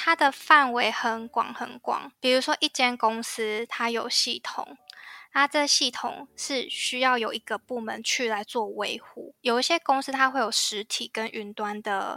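On a very clean, dry recording with a silent background and no echo, a woman with a high pitch and a bright, sharp tone speaks at a fairly slow pace with ordinary pitch variation. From Taiwan. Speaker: IT system engineer. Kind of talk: interview.

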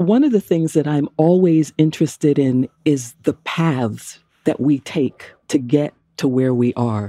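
In a dry, close sound with no echo, a woman speaks at a very deep, low pitch with a dark, mellow tone, ordinary pitch variation, very even loudness and a fairly slow pace. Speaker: podcast host. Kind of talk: interview conversation.

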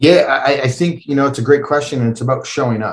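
A somewhat breathy man speaks with a Western Canadian accent and ordinary pitch variation. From Canada, Calgary. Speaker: endurance athlete. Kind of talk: interview.

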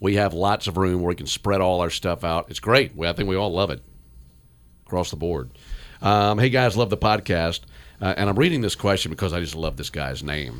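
Lively in intonation, a man with a very deep, low pitch and vocal fry talks at a fairly quick pace. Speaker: baseball radio broadcaster and podcast host. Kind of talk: casual chat.

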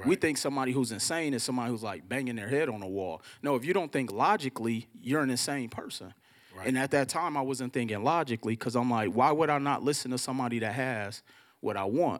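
A man with an American accent at medium pitch, very fast pace and ordinary pitch variation. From Milwaukee, Wisconsin (teen years in Mississippi). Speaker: credit and finance expert. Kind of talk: interview before a live audience. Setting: studio with live audience.

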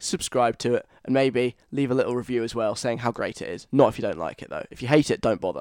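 With a southern English accent, a man talks at a fairly quick pace and medium pitch, with ordinary pitch variation in a dry, close sound with no echo. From London. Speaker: radio host. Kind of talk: radio show monologue. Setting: studio. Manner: casual chatty.

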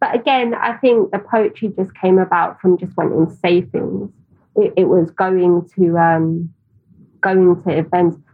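Someone with a London accent speaks at a fairly slow pace. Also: woman, medium pitch for a woman, ordinary pitch variation. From East London (Tower Hamlets), England. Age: 30s. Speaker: publisher and agency founder. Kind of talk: interview conversation.

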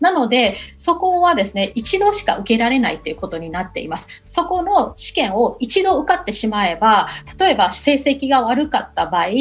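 Amid noticeable background noise, a high-pitched woman speaks at a moderate pace with very wide pitch swings. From Myanmar, Yangon. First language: Burmese (speaking Japanese). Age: 40s. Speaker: university lecturer. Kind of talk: radio interview. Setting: remote call. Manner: hesitant with fillers.

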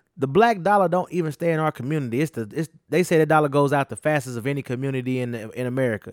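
A man talks at a fairly high pitch with ordinary pitch variation. He leaves hardly any pauses. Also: dry, close sound with no echo. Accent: Southern US. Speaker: podcast co-host. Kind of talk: casual chat.

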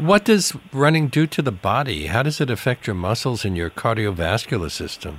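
Pitched in the medium range, a man's voice carries vocal fry and very wide pitch swings as he keeps a moderate pace with hardly any pauses. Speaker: radio talk show host. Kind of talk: radio interview. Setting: radio studio.

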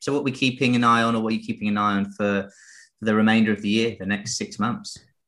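Fairly low-pitched man in an English accent, bright and sharp in tone, against a quiet background. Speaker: podcast host, trading educator. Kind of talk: casual market discussion podcast.

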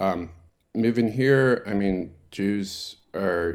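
A man speaks in a Baltimore accent. The recording is very clean, with a silent background. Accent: American, Baltimore. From US, Baltimore. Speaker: president of a synagogue congregation. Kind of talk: interview. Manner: halting, many fillers.

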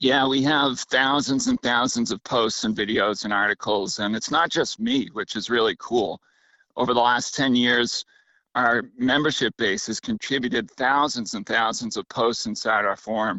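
In an American accent, a man speaks at a moderate pace and medium pitch with ordinary pitch variation and a plain, everyday voice. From Massachusetts, Cape Cod. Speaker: fishing content creator. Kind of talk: interview.

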